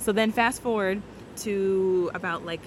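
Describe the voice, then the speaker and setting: At a moderate pace, a woman talks at a medium pitch with noticeable background noise behind her. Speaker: newlywed guest sharing her faith story. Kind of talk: testimony. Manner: loud; animated.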